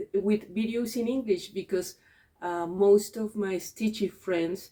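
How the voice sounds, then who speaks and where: A woman with a Spanish accent, a dark, mellow tone and fairly even intonation. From Mexico. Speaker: cross-stitch video creator and teacher. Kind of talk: casual vlog chat. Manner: halting, many fillers and repeats.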